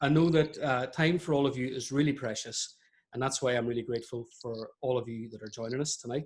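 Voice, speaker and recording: Somewhat breathy, a man talks at a fairly quick pace with ordinary pitch variation. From Ireland. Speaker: webinar host, podiatrist. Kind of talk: webinar interview introduction. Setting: online webinar.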